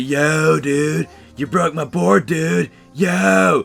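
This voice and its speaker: Over faint music in the background, a man in a put-on character voice speaks very slowly at a fairly high pitch for a man. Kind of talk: casual slang.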